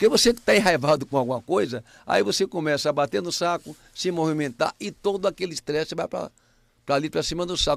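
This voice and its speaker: An unremarkable speaking voice from a man at fairly high pitch and moderate pace, with a very clean recording, silent background and dry, close sound with no echo. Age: 60s. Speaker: senior athlete. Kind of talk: casual chat.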